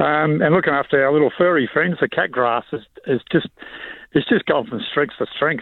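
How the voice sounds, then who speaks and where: A man with an Australian accent talks at a moderate pace, his fairly high voice showing ordinary pitch variation. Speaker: nursery grower. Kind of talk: radio interview. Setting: phone call.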